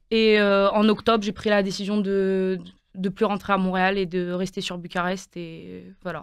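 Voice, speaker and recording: A woman's medium-pitched, flat, monotone voice at a fairly slow pace, in a very clean recording with a silent background. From Quebec, Montreal (French expat school milieu). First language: Romanian (speaking French). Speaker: university student. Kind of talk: radio interview. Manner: hesitant, many fillers.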